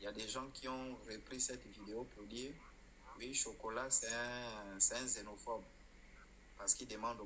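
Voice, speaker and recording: A man's medium-pitched voice with a bright, sharp tone, vocal fry and fairly even intonation, plus audible room echo. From Gabon. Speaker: live streamer. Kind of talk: live stream chat. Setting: rented apartment, lying on bed. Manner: deliberately quiet; loud.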